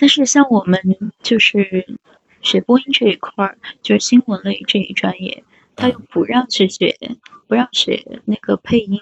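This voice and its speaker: A moderate pace broken by long, frequent pauses. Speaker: broadcasting graduate. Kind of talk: casual chat. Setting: live stream co-host call.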